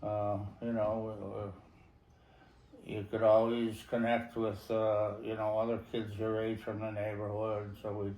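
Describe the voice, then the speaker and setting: With audible room echo, a man speaks at a fairly slow pace in a fairly low, monotone, flat voice, leaving long, frequent pauses. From US East Coast, Connecticut. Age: 70s. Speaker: war veteran. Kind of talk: interview.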